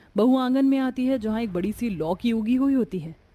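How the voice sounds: Speaking at a fairly quick pace, a woman uses a fairly high pitch and lively intonation.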